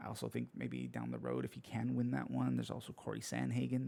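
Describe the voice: A man talks at a fairly quick pace with lively intonation. His dark, mellow tone is croaky, with vocal fry.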